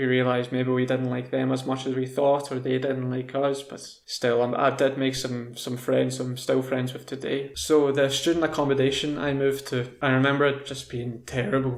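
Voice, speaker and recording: A man's medium-pitched voice with a Scottish accent, flat monotone intonation and a moderate pace. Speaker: English teacher. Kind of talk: casual talk to camera, language lesson.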